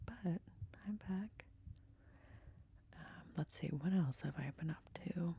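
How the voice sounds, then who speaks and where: A soft-spoken woman's fairly low voice, dark and mellow in tone with vocal fry, at a very slow pace with long, frequent pauses and ordinary pitch variation. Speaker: ASMR creator. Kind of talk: casual chat.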